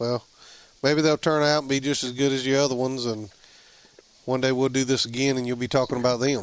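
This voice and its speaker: A man with a Southern US accent talks at a very fast pace in a medium pitch, his intonation flat and monotone, with long, frequent pauses. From Alabama. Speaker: podcast host. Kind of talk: casual interview chat.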